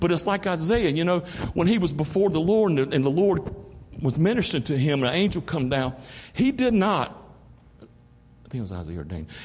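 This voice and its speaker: An animated man with an eastern North Carolina accent, his fairly high voice lively in intonation and fairly quick in pace. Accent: Southern US, eastern North Carolina. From US South, eastern North Carolina. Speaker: associate pastor, visiting preacher. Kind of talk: sermon. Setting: church. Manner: animated, preacherly, joking.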